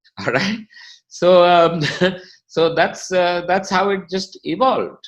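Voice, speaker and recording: This man speaks with a high pitch and fairly even intonation. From India, grew up in Delhi and Lucknow, South Indian family. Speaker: company chief executive. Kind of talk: interview.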